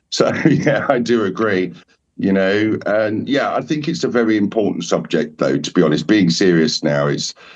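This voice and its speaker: In an Essex accent, a man with a fairly low pitch and some vocal fry speaks at a moderate pace with lively intonation. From England, Essex. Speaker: shaman. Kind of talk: casual chat. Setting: podcast roundtable.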